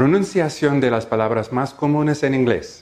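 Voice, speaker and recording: A man speaks at a fairly slow pace with a fairly high pitch and an English accent. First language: English (speaking Spanish). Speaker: language teacher, project founder. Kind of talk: scripted video introduction.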